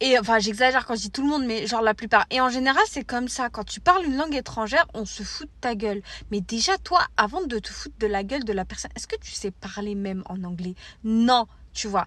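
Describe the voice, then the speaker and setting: Bright and sharp in tone, a woman speaks at a fairly high pitch and a fairly quick pace, with lively intonation and big swings in loudness. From France. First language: Arabic (speaking French). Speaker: content creator. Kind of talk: casual monologue vlog. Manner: casual, hesitant with fillers.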